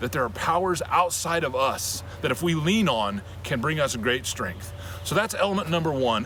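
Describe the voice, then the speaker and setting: Amid noticeable background noise, a man at a medium pitch talks at a moderate pace with very wide pitch swings. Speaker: military chaplain. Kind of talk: casual talk to camera, pastoral message.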